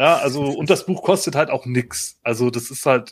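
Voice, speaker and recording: The recording is very clean and the background silent. A man talks, his pitch varying in an ordinary way. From northern Germany, Otterndorf on the North Sea. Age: 40s. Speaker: podcast host. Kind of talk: casual chat.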